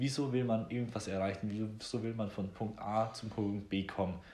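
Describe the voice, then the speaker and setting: Somewhat breathy, a man speaks at a medium pitch with fairly even intonation and audible room echo. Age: 20s. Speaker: podcast host. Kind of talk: casual chat.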